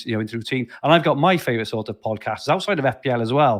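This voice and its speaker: Speaking at a very fast pace, a man with a South Wales accent talks at a medium pitch. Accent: Welsh, Barry twang with Valleys lilt. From South Wales, Barry. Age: 40s. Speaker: podcast host. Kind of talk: casual interview chat. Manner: halting, many repeated words.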